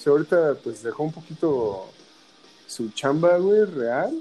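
Speaking in a fairly high pitch, a man keeps a moderate pace. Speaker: podcast co-host. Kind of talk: casual chat.

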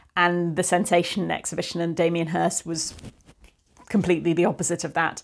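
In a southern English accent, the speaker moves at a fairly quick pace with monotone, flat intonation. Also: woman, fairly low pitch for a woman. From England, Cotswolds. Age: 40s. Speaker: art dealer. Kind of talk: casual interview chat. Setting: at her home.

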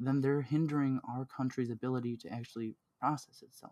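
A man speaks at a fairly quick pace in a dark, mellow tone. His pitch is medium and his intonation monotone and flat. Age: 20s. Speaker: podcast host. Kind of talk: casual chat.

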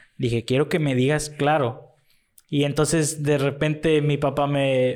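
In a very clean recording with a silent background, a man speaks at a moderate pace in a monotone with flat intonation. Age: young. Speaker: guest friend. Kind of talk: casual chat.

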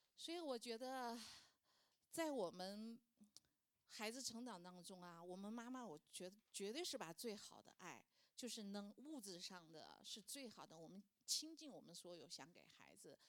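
A woman's pitch swings very widely. Her loudness also rises and falls sharply. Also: fairly high pitch for a woman, moderate pace. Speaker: churchgoer sharing as a mother. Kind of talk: testimony.

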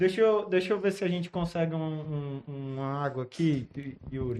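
At a fairly slow pace, a man talks in a high pitch. His pitch variation is ordinary. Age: 30s. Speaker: podcast host. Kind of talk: casual interview with children.

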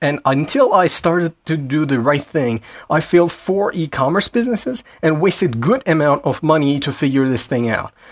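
A man with a plain, everyday voice speaks at a moderate pace with lively intonation and hardly any pauses. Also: fairly high pitch for a man. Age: 20s. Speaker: entrepreneur podcast host. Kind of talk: solo monologue.

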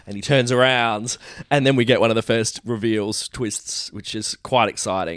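In a very clean recording with a silent background, a man speaks in an ordinary speaking voice at a fairly low pitch and fairly quick pace, with ordinary pitch variation. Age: 40s. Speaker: podcast co-host. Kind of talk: casual chat.

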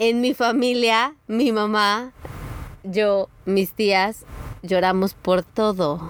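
A woman speaks at a very slow pace. Her fairly high pitch shows ordinary variation. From Mexico, San Luis Potosí. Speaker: travel photographer and podcaster. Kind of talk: casual chat. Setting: outdoors by the sea in a camper van.

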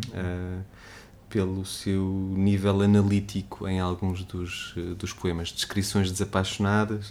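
Very slowly, a man speaks in a very deep, low pitch. His intonation is monotone and flat. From Portugal, Trás-os-Montes. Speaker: writer. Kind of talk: casual interview. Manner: halting, many repetitions.

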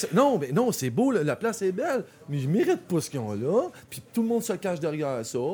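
Animated in tone, a man talks at a fairly quick pace with a Quebec accent, his high pitch making very wide swings. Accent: Québécois French. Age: 40s. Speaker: clothing designer. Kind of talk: casual chat.

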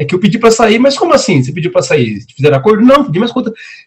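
Extremely high male pitch with very wide swings up and down. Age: 30s. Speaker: entrepreneur and consultant. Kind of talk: casual chat.

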